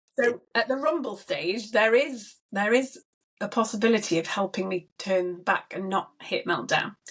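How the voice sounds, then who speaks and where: With lively intonation and a fairly high pitch, a woman talks at a moderate pace in a normal speaking voice. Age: 40s. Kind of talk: casual chat.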